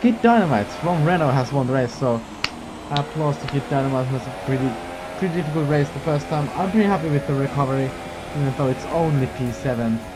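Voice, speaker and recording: Someone talks at a very fast pace with lively intonation over noticeable background noise. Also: man. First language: not English. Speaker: sim racing gamer and YouTuber. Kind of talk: gameplay commentary. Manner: animated.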